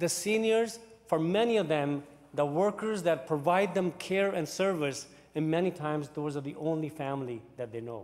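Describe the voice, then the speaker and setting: Lively intonation and a moderate pace from a man with a fairly high pitch. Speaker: cabinet minister. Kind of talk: parliamentary debate speech. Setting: legislative chamber. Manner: halting. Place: hall. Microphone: podium.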